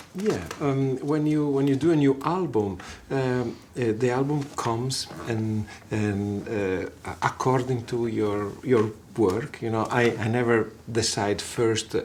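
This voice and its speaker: A man with an Italian accent speaks at a very slow pace, his pitch varying in an ordinary way. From Italy, Genoa. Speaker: guitarist and songwriter. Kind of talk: casual interview. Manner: halting, many fillers.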